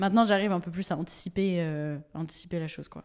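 A woman speaks in an unremarkable speaking voice, fairly low in pitch with fairly even intonation at a fairly quick pace, on a very clean recording with a silent background. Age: 20s. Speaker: social media creator with coeliac disease. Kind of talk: casual interview chat. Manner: casual, many fillers and laughs.

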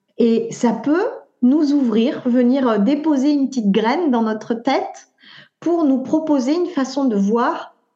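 A woman with a high-pitched voice speaks very slowly at a very even volume, her tone dark and mellow, her pitch varying in an ordinary way, with audible room echo. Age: 40s. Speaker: naturopath and author. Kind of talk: interview. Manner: halting.

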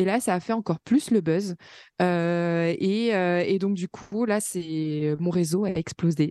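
Talking at a very slow pace, a woman uses a fairly low pitch with ordinary pitch variation and a dark, mellow tone. The sound is dry and close, with no echo. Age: 20s. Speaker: self-employed worker with fibromyalgia, mother. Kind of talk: interview testimony.

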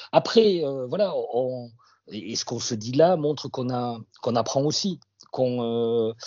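Speaking with a slight southwestern French accent, a man keeps a medium pitch and ordinary pitch variation. His pace is very slow. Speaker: radio journalist. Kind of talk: interview testimony. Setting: remote link.

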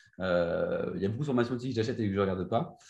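Here a man speaks at a fairly low pitch with ordinary pitch variation. His voice is somewhat breathy and his pace fairly quick. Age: 20s. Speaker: Instagram entrepreneur. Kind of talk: interview. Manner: halting.

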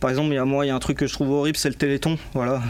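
A man's voice at a fairly high pitch. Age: 20s. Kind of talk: interview. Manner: hesitant, many fillers and repetitions.

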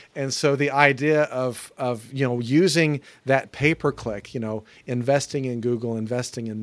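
A normal speaking voice with an American accent and ordinary pitch variation, in a very clean recording with a silent background. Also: man. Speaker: podcast co-host. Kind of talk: casual chat.

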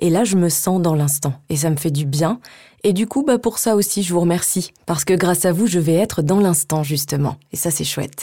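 Heard in a very clean recording with a silent background, a woman speaks at a moderate pace. Her tone is dark and mellow, somewhat breathy, with ordinary pitch variation. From France, Savoie (Chambéry). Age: 30s. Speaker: voice-over actress. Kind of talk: casual interview. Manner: hesitant, many fillers and repeats.

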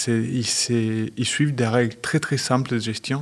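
Speaking with a Spanish accent, a man keeps a medium pitch. His pace is very slow and his intonation fairly even. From Argentina. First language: Spanish (speaking French). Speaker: company managing director. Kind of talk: interview.

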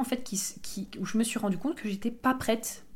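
With fairly even intonation, the voice comes across as somewhat breathy. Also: woman. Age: 20s. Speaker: podcast host, human design coach. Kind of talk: casual solo monologue. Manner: hesitant, many fillers.

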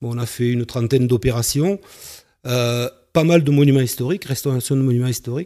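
A man's medium-pitched, dark, mellow voice at a fairly quick pace, with ordinary pitch variation. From southern France, Carcassonne. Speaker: entrepreneur. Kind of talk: interview. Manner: halting.

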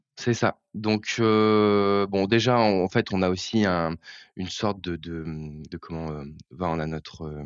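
A man speaks at a very slow pace with ordinary pitch variation. His voice is very deep and low. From Normandy, Eure. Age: young. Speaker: bank employee. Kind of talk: interview. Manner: halting.

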